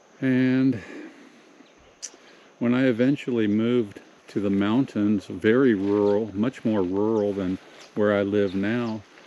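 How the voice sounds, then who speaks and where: Behind noticeable background noise, a man with an American accent speaks very slowly in a fairly low voice with fairly even intonation. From Southern California. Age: 60s. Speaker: vlogger. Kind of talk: casual monologue. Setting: pacing around while talking. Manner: halting.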